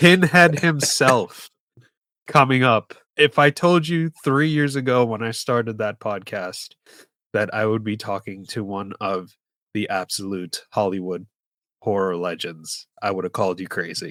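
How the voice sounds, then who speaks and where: Speaking with an American accent, a man with a fairly low pitch and bright, sharp tone swings his pitch very widely at a fairly slow pace, in a very clean, dry, close recording with a silent background and no echo. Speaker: podcast host. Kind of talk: casual chat.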